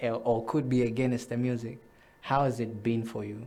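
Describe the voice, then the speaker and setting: A man speaks at a moderate pace with a dark, mellow tone and audible room echo. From Zambia, Ndola. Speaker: show host. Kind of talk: interview.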